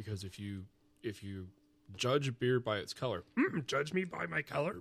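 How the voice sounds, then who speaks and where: A man performs a put-on character voice. He keeps a medium pitch and a moderate pace. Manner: slow, odd-syntax wise.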